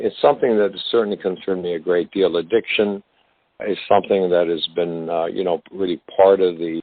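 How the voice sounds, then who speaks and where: Fairly quick in pace, a man talks with a very deep, low pitch and fairly even intonation. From Canada. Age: 60s. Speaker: actor. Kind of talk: interview. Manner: halting, many fillers.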